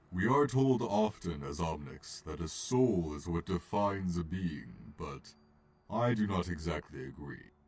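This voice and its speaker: A man does a put-on character voice with very deep, low pitch at a fairly slow pace. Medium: fan dub. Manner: calm, gentle, philosophical.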